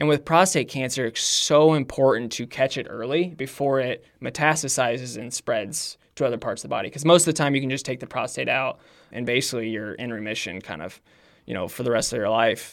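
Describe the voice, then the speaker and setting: With an American accent, a man talks at a fairly quick pace. His medium pitch shows ordinary variation. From Indiana, US Midwest. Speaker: runner. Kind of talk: interview.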